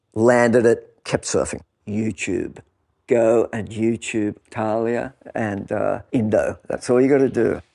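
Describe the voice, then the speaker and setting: In an Australian accent, a man speaks at a very slow pace with a dark, mellow tone against a quiet background. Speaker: former pro surfer and writer. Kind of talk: casual chat.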